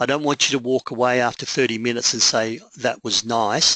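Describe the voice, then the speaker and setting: In an Australian accent, a man with a medium pitch and a bright, sharp tone talks at a fairly quick pace with fairly even intonation, the sound dry and close with no echo. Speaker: public speaking coach. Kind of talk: webinar presentation. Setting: online webinar.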